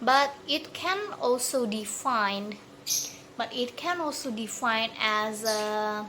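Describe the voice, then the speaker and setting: Speaking in an Indonesian accent at a very slow pace, a woman uses a fairly high pitch and ordinary pitch variation over noticeable background noise. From Indonesia, Bandar Lampung. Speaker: university student. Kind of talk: recorded exam answer. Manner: halting, many fillers and restarts.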